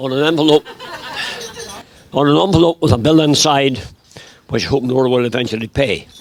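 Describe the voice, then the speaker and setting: With crowd noise in the background, a man speaks at medium pitch with a Northern Irish accent and ordinary pitch variation. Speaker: bride's grandfather giving a wedding speech. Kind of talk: wedding speech with poem reading. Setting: wedding reception with audience.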